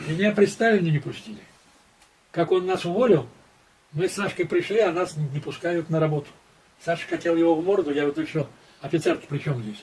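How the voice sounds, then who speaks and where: A man with a high voice talks at a fairly quick pace with long, frequent pauses and ordinary pitch variation over light background noise. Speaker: war veteran and former intelligence officer. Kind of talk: testimony. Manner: conversational, rambling, halting. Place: home room.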